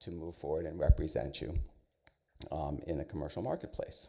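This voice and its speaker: This man's speech moves along fairly quickly. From New York City. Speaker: arts center director, panelist. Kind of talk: panel presentation. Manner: fast.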